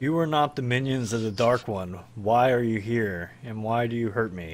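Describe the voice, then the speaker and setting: A man puts on a character voice, talking at a moderate pace with a medium pitch. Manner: plaintive, questioning.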